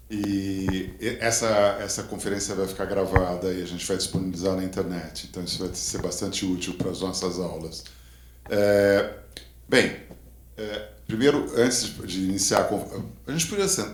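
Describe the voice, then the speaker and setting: Audible room echo surrounds a man talking at a fairly quick pace in a fairly low pitch. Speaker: conference moderator. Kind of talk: event moderation.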